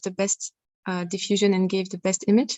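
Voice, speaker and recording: With a non-native accent, a woman speaks at a very fast pace in a monotone, flat intonation. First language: not English. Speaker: researcher presenting at a conference. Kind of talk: conference Q&A answer. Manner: halting, many repeated words.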